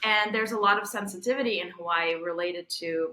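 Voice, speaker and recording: With a slight Russian accent, the voice has a bright, sharp tone and fairly even intonation. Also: woman. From Belarus. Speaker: tech innovation strategist. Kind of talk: interview conversation.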